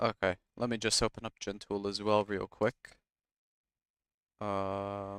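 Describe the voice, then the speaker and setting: Soft-spoken and monotone with flat intonation, a man talks at a very slow pace and a fairly low pitch, with long, frequent pauses, in a dry, close sound with no echo on a very clean recording with a silent background. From Egypt, Cairo. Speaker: gaming streamer and caster. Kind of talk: live game commentary and casual stream chat. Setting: live stream.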